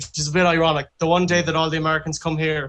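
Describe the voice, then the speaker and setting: In an Irish accent, a man speaks at a fairly high pitch. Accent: Irish (Galway). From Ireland, Galway (Moycullen). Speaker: folk musician. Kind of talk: casual chat.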